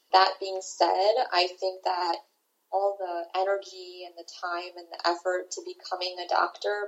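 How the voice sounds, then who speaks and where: A woman with a plain, everyday voice and an American accent speaks at a medium pitch. Her pace is fairly slow and her intonation fairly even. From Washington, D.C. area. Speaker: resident physician. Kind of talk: interview.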